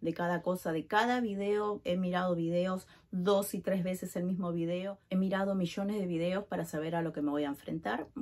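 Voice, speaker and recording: This very clean recording has a silent background. A woman speaks at a moderate pace with ordinary pitch variation. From Uruguay. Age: 40s. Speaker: vlogger. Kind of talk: personal vlog. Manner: casual, filler-heavy.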